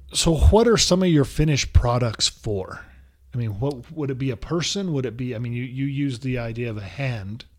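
Over noticeable background noise, a man with a medium pitch speaks at a fairly quick pace with lively intonation. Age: 50s. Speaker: podcast host. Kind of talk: interview.

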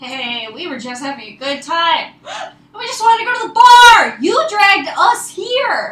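A woman's put-on character voice, extremely high-pitched with big pitch swings and a fairly bright tone, at a fairly slow pace

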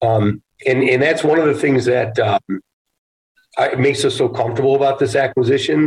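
A man speaks in a plain, everyday voice, pitched fairly high, at a fairly quick pace. His loudness stays very even, his intonation is fairly even, and the sound is dry and close with no echo. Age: 50s. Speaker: real estate investment executive. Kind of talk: casual interview.

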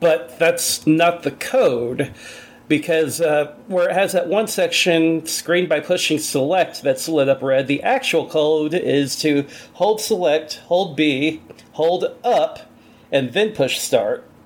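The voice is an unremarkable speaking voice, and its pitch varies in an ordinary way. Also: man, very even loudness. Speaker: podcast host guest. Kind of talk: casual chat.

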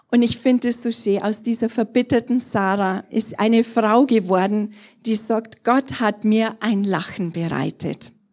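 A woman with an unremarkable speaking voice, fairly high in pitch, at a fairly slow pace and with fairly even intonation. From Bavaria, Germany (Trostberg). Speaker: pastor. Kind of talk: sermon.

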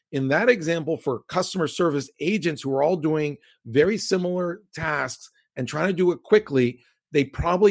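A man with an American accent, a normal speaking voice, ordinary pitch variation and a moderate pace, on a very clean recording with a silent background. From US Mid-Atlantic (Maryland and Virginia), Cuban American family. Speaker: tech company CEO. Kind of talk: interview.

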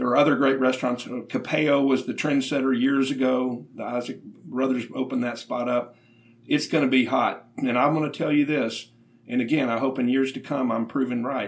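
His intonation monotone and flat, the man keeps a medium pitch and a moderate tempo. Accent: Southern US. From Little Rock, Arkansas. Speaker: podcast host and food writer. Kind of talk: interview.

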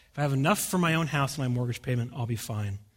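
A man speaks in a West Coast US accent, somewhat breathy. The recording is very clean, with a silent background. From US, rural Oregon. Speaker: pastor. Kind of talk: sermon. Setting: church.

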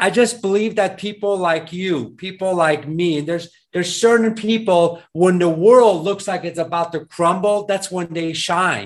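A man with an American accent and a high pitch speaks at a moderate pace with fairly even intonation and hardly any pauses. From East Bay, California. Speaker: podcast host and real estate business owner. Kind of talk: podcast interview.

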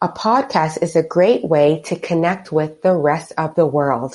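Against a quiet background, a woman with a normal speaking voice talks at a fairly slow pace, her fairly low pitch showing ordinary pitch variation. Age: 50s. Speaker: podcast host and digital marketing strategist. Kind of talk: solo podcast tutorial.

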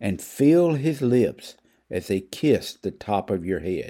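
In a Southern US accent, a man with a medium pitch and a soothing, gentle tone speaks at a very slow pace with very wide pitch swings, captured in a very clean recording with a silent background. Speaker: preacher. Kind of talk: devotional reading, guided meditation prayer. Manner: slow, soothing, gentle; earnest, pastoral.

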